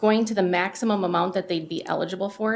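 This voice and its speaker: Noticeable background noise sits under the speech. The delivery is fairly quick, with fairly even intonation. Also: woman. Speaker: county staff presenter. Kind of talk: public meeting presentation. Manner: fast.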